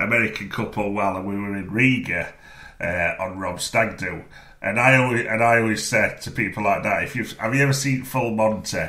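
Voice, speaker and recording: A man with a strong Sheffield accent talks at a fairly quick pace in a fairly low voice with fairly even intonation. There is audible room echo and noticeable background noise. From northern England, Sheffield. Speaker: film podcast co-host. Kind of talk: casual chat. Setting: podcast recording.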